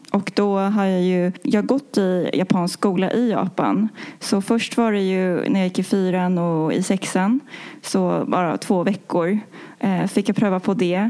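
In a dark, mellow tone, a woman speaks at a fairly slow pace and medium pitch, with very even loudness and fairly even intonation. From Sweden, Stockholm. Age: 20s. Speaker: engineer. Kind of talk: interview. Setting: studio. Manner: halting.

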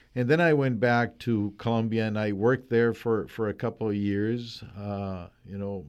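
Fairly slow delivery from a man, his pitch fairly low, with ordinary pitch variation. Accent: Spanish. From Colombia. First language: Spanish. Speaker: veterinary professor. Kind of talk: interview. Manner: hesitant, many fillers.

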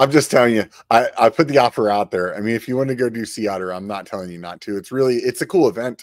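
A man with an American accent at medium pitch, very fast and with hardly any pauses, ordinary pitch variation and big swings in loudness, in a dry, close, very clean recording with no echo and a silent background. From Pennsylvania. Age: 40s. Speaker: podcast host. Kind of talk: casual chat. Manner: animated.

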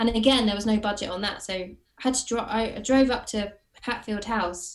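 Speaking at a moderate pace with ordinary pitch variation, a woman uses a fairly high pitch and a southern English accent. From Watford, southern England. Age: 30s. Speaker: actress and writer. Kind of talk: casual interview chat.

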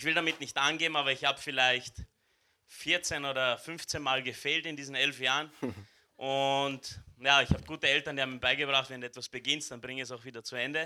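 A man speaks at a fairly high pitch for a man, with big swings in loudness. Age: 20s. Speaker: church member giving the welcome. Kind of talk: welcome speech at a church service. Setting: church service with live audience. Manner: animated.

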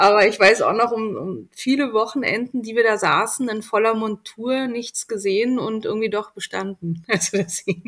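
This woman has an unremarkable speaking voice, pitched fairly high, with fairly even intonation. She keeps a moderate pace with hardly any pauses. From Berlin, Germany. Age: 40s. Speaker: magazine editor-in-chief. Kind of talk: casual interview.

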